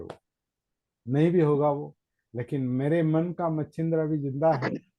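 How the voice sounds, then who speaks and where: This man's voice sits fairly high in pitch and has a dark, mellow tone. His pitch varies in an ordinary way. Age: 60s. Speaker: meditation teacher. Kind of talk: Dhamma talk. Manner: halting, repetitive.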